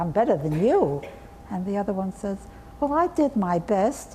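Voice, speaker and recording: Speech comes at a fairly slow pace with lively intonation over noticeable background noise. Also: woman. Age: 80s+. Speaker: artist and art educator. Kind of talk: interview answer.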